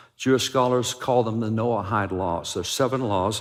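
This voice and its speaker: This man has a plain, everyday voice at a medium pitch, with ordinary pitch variation. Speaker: preacher. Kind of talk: sermon.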